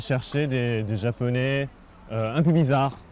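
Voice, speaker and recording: A man speaks at a very slow pace with fairly even intonation against noticeable background noise. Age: 30s. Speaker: TV fixer and producer. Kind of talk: interview. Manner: halting, many hesitations.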